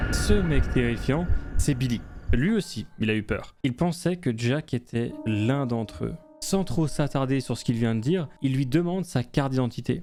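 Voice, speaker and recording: Music sits in the background as a man with a medium pitch talks at a fairly slow pace, using lively intonation. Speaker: gaming video narrator. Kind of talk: game story narration with commentary. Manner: casual, joking.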